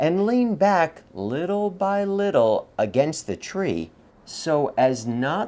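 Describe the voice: Plain reading aloud is delivered here with lively intonation.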